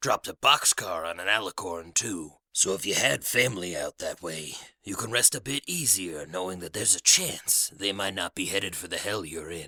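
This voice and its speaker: A man uses a put-on character voice with a very deep, low pitch. He talks at a moderate pace with hardly any pauses. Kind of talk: radio DJ patter. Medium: read story. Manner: casual, jokey, upbeat.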